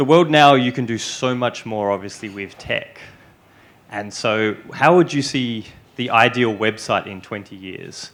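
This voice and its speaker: A man talks at a fairly slow pace with medium pitch and ordinary pitch variation. His loudness swings widely. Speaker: audience member asking a question. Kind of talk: audience question. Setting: luncheon with audience.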